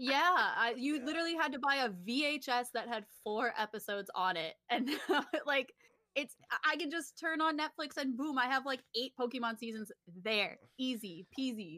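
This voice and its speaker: A woman with a high pitch projects a raised voice in a bright, sharp tone with lively intonation. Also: moderate pace. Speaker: artist and gamer. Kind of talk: casual chat.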